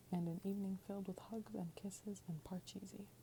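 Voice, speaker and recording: Soft-spoken delivery with a gentle tone at a moderate pace. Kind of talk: ASMR children's book reading. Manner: soft-spoken, gentle.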